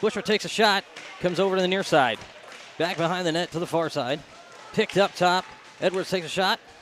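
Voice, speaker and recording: Over noticeable background noise, a high-pitched man speaks very fast with ordinary pitch variation and long, frequent pauses. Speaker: play-by-play commentator. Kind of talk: live commentary.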